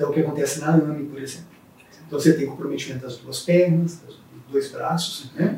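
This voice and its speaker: Amid noticeable background noise, a man talks at a fairly quick pace in a fairly high pitch, his intonation fairly even but his loudness swinging widely. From Brazil, interior of Espírito Santo. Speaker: neurologist and university professor. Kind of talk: interview.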